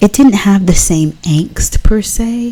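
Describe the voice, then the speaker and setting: A soft-spoken woman talks at a very slow pace over noticeable background noise. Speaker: ASMR artist. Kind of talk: casual ASMR talk while drawing.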